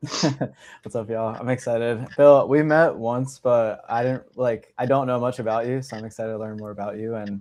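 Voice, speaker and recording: A man speaks at a moderate pace with hardly any pauses, his medium pitch and fairly even intonation set against big swings in loudness over a quiet background. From Los Angeles and Bucks County, Pennsylvania. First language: Russian. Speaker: podcast co-host, vegan mentor. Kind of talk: casual chat.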